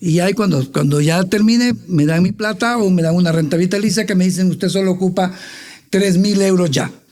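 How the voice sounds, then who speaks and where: Very fast speech carries ordinary pitch variation. Noticeable background noise runs underneath. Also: man. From Honduras, Tegucigalpa. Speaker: finance expert. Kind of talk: interview.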